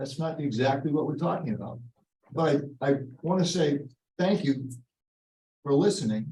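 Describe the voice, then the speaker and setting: Somewhat breathy and dark, mellow in tone, a man speaks at a fairly high pitch and moderate pace. Long, frequent pauses break up his speech amid audible room echo. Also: ordinary pitch variation. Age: 80s+. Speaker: resident speaking at public meeting. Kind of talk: public comment at town meeting. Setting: town selectboard meeting.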